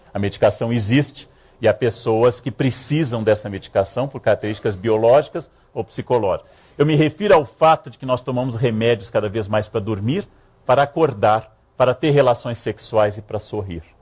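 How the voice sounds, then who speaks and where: A man's somewhat breathy, medium-pitched voice at a moderate pace, with big swings in loudness and ordinary pitch variation. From Rio Grande do Sul, Brazil. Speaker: historian, lecturer. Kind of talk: public lecture. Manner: humorous, ironic.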